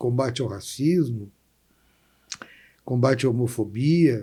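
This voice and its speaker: The speaker is a man with a fairly slow delivery. His tone is dark and mellow, and somewhat breathy. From Brazil, Porto Alegre. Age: 60s. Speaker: labor lawyer and city councillor. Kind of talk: interview conversation.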